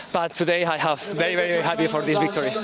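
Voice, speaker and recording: This man talks fairly quickly, his pitch varying in an ordinary way, while noticeable noise sits in the background. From Spain. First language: Spanish. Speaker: athlete. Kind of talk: post-race interview. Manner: halting.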